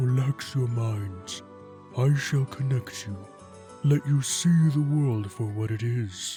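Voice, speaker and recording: Over clear music in the background, a man puts on a character voice at a medium pitch. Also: fairly slow pace. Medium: audio drama. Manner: calm, solemn.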